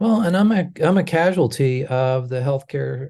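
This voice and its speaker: A man with an American accent speaks at a moderate pace, somewhat breathy, with ordinary pitch variation. His tone is dark and mellow over a quiet background. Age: 60s. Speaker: healthcare advocate. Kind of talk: interview. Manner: halting, many fillers.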